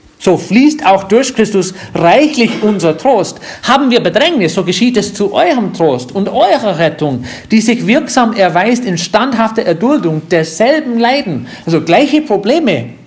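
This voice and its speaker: The speech moves at a fairly slow pace with very wide pitch swings, against noticeable background noise. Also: man. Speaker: pastor. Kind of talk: sermon. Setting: church. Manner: didactic, earnest, warm; unhurried, explaining verse by verse.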